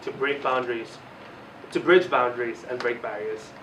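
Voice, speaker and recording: Fairly even in intonation, a man talks at a moderate pace against noticeable background noise. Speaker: student election candidate. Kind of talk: campaign speech.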